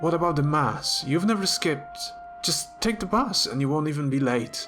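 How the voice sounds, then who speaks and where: Over music in the background, a man with a non-native accent talks at a moderate pace with lively intonation. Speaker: novelist reading own work. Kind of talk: fiction reading.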